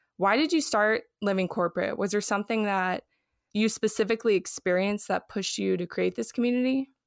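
With a normal speaking voice, a woman talks at a fairly quick pace in an American accent, her pitch varying in an ordinary way. The sound is dry and close with no echo, on a very clean recording with a silent background. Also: medium pitch for a woman. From Los Angeles. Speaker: podcast host. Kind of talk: interview.

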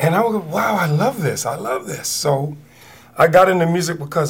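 A man's voice with lively intonation over noticeable background noise. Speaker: musician. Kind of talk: interview storytelling. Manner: energetic.

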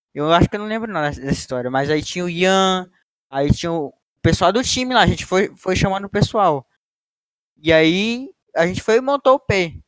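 At a moderate pace, a man speaks in a high pitch with lively intonation, the sound dry and close with no echo. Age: young. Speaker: university student, co-host. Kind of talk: casual chat.

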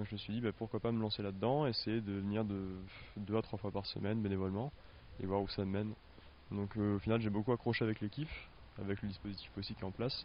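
Talking at a very fast pace yet with long, frequent pauses, a man keeps a monotone, flat delivery at a fairly low pitch. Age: young. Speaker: animal care assistant. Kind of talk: interview.

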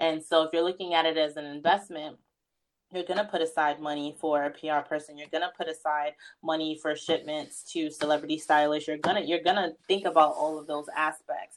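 Very deep, low female voice with a New York accent, monotone and flat, at a fairly quick pace in a very clean recording with a silent background. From New York, Queens (Far Rockaway). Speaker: fashion stylist and editor. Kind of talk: casual interview chat.

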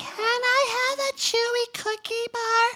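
A squeaky, female-sounding put-on character voice at an extremely high pitch for a woman speaks at a fairly slow pace in a monotone, flat intonation.

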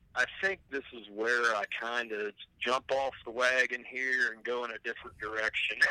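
Delivered at a moderate pace in an ordinary speaking voice, the speech has fairly even intonation and big swings in loudness, with a dry, close sound and no echo. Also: man, medium pitch for a man. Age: 40s. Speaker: musician who made the show's theme song. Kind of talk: casual chat.

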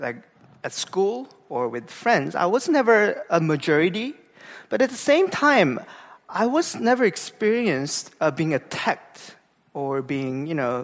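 A man with a Korean accent speaks at a fairly slow pace. His pitch swings very widely and his loudness varies a lot. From South Korea, Gangwon-do. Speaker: pastor. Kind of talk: sermon. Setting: church.

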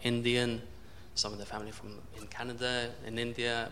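A man at medium pitch and a fairly slow pace, with audible room echo and noticeable background noise. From southern England. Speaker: audience member, English teacher. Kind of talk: audience question. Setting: stage with audience.

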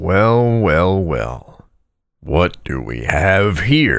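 A man's put-on character voice, very deep and low, raspy, with very wide pitch swings, a very slow pace and audible echo. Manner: theatrical, mock-dramatic.

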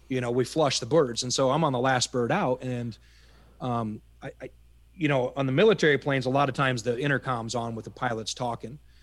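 With a Midwestern American accent, a man of medium pitch talks at a fairly quick pace and keeps his intonation fairly even. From US Midwest, Iowa. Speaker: army veteran. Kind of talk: interview storytelling. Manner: halting, repeats words.

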